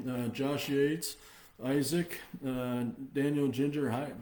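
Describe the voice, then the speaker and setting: Speaking very slowly with fairly even intonation, a man with a fairly high voice is heard amid noticeable background noise and audible room echo. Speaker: company executive hosting livestream. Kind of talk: live stream update. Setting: Facebook live video stream. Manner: hesitant, many fillers.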